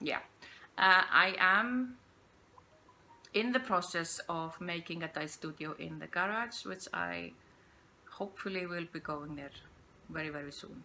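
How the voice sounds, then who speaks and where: With an Icelandic accent, a woman speaks at a fairly low pitch and a fairly slow pace, with long, frequent pauses. Her bright, sharp tone shows ordinary pitch variation and big swings in loudness. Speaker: podcast host, yarn dyer. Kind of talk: casual unscripted monologue. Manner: halting, hesitant.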